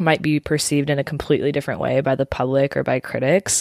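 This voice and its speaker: Speaking at a fairly quick pace, a woman with a very deep, low pitch sounds dry and close with no echo on a very clean recording over a silent background. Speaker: podcast co-host. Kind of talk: casual chat. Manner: calm, radio-style delivery.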